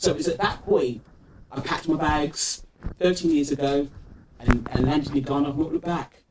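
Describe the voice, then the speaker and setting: A man with a British accent and fairly high pitch, fairly quick pace with long, frequent pauses, fairly even intonation, and noticeable background noise. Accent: UK. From UK, Nigerian diaspora (London area). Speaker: entrepreneurship ecosystem builder. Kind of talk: interview conversation.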